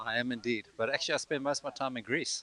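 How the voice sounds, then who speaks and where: With ordinary pitch variation, a man rattles along very fast. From South Africa. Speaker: competitive water skier. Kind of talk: post-event interview.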